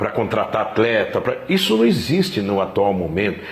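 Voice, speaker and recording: Amid noticeable background noise and audible room echo, a man speaks at a moderate pace with very wide pitch swings. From Brazil, São Paulo (east side). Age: 60s. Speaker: football club president. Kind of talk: interview. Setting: club training ground, evening.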